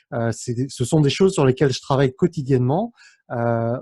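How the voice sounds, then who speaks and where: The recording is dry and close, without echo. A man speaks in a fairly high, somewhat breathy voice with a dark, mellow tone. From France, of Cambodian parents. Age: 30s. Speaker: YouTuber and entrepreneur. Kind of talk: interview. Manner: many hesitations (euh).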